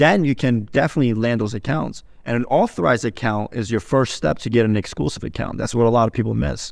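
A man speaks at a very fast pace with vocal fry and hardly any pauses, in a very clean recording with a silent background. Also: medium pitch for a man, lively intonation. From grew up partly in Turkey, moved to New York (Staten Island) at 7. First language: Turkish. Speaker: Amazon wholesale seller. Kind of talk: casual chat.

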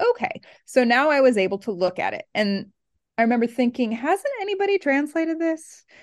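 Someone with a West Coast accent speaks at a fairly quick pace with very wide pitch swings, in a dry, close sound with no echo. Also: woman, high pitch for a woman. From Oregon, US West Coast. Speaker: New Testament professor. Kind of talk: interview.

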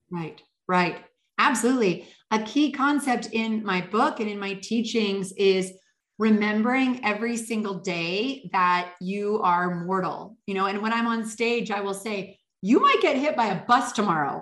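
In a Canadian accent, a woman with a fairly high pitch speaks at a moderate pace with ordinary pitch variation, and audible room echo is present. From northern Canada. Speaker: leadership coach and author. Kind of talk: interview.

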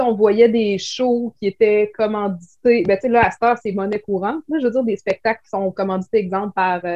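A woman talks in a Quebec accent at a fairly high pitch. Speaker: clothing shop owner. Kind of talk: casual interview.

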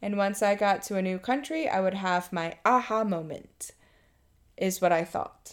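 A woman talks at a moderate pace and medium pitch with a Mid-Atlantic American accent. The recording is very clean, with a silent background. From Maryland. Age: 30s. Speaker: teacher. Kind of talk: personal testimony.

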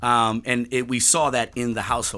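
In a very clean recording with a silent background, a man with an American accent speaks at a medium pitch in a bright, sharp tone. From New York City. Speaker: pastor. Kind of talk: casual interview chat. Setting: studio.

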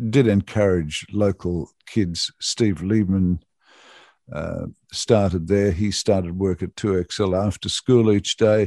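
A man with an Australian accent talks at a very slow pace in a dark, mellow tone. The sound is dry and close with no echo, over a quiet background. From Australia, Cooma, New South Wales. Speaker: radio presenter. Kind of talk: interview. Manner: halting, many fillers.

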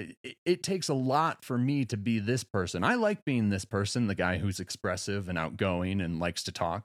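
A man with an unremarkable speaking voice talks at a moderate pace and fairly low pitch, with lively intonation and hardly any pauses. The sound is dry and close with no echo, on a very clean recording with a silent background. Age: 30s. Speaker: podcast host. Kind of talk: casual monologue.

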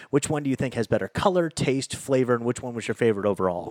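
Lively intonation carries this man's speech along at a very fast pace. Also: very clean recording, silent background. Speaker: beer podcast co-host. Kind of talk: casual chat.

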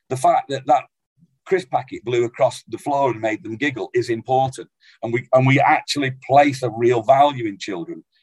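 A man speaks at a medium pitch with a somewhat breathy quality. The sound is dry and close, with no echo. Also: ordinary pitch variation, moderate pace. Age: 50s. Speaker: abuse survivor and advocate. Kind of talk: panel discussion.

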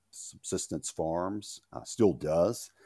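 The voice has a dark, mellow tone, ordinary pitch variation and some vocal fry. The recording is very clean, dry and close, with no echo and a silent background. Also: man. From Louisiana. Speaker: farmer and author. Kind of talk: interview.

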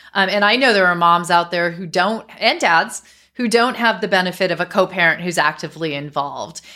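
A woman's bright, sharp voice at medium pitch, fairly quick, with ordinary pitch variation, in a very clean recording with a silent background. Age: 50s. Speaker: podcast host and divorce attorney. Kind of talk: interview.

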